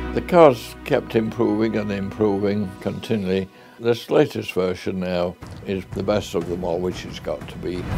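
Over clear music in the background, a man with a Yorkshire accent talks at a moderate pace in a fairly low pitch, his intonation lively and his loudness swinging widely. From Sheffield, England. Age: 80s+. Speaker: car and tractor collector. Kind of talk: interview answer. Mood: fond, reminiscing. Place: office.

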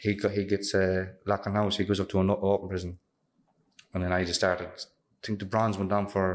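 A man's fairly low-pitched, monotone, flat delivery at a moderate pace. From Castlebar, County Mayo, Ireland; Ireland. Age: 20s. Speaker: prisoner. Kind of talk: interview. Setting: prison. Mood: calm, reflective. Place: meeting room. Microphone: studio mic.

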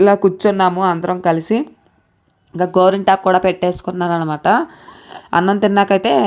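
Her medium-pitched voice has a monotone, flat intonation as the woman speaks. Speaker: village vlogger. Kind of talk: vlog narration. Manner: casual, rambling filler-heavy.

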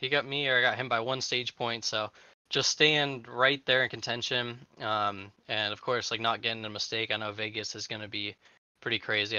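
A man speaks at a fairly quick pace with fairly even intonation, the sound dry with no echo and the background quiet. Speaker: race driver interviewed; interviewee. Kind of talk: post-race interview. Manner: hesitant, filler-heavy. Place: home room. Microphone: headset.

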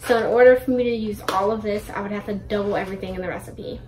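There is light background noise behind a woman speaking. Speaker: vlogger. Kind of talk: casual vlog chat. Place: kitchen. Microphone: phone near.

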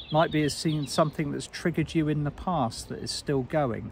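Somewhat breathy delivery at a moderate pace. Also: man. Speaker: spiritual guide and meditation teacher. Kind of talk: guided meditation. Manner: warm, intimate, encouraging.

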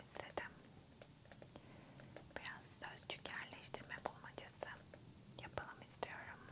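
Long pauses come often. Throughout, a woman whispers. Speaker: ASMR creator. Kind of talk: ASMR close-whisper puzzle solving. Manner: whispered, soft, slow. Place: home room. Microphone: studio mic.

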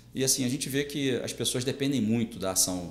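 A man talks at a fairly quick pace with very wide pitch swings, with audible room echo and light background noise behind him. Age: 50s. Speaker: police chief and political candidate; podcast guest. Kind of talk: interview. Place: studio.

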